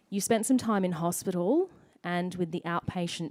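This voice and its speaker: With an Australian accent, a woman speaks at a moderate pace and a fairly low pitch. Her pitch varies an ordinary amount. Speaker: event MC. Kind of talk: event hosting. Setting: stage with audience.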